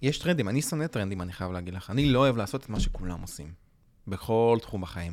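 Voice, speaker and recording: With lively intonation, a man speaks at a very fast pace in a fairly low pitch. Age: 20s. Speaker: graphic designer podcast co-host. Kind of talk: casual chat. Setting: studio.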